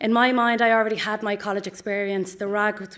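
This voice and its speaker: In a very clean recording with a silent background, a woman speaks at a fairly quick pace in a fairly high, flat monotone. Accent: Dublin. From Ireland, Dublin north inner city. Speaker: pharmacy graduate. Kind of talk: ceremony speech. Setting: auditorium with audience.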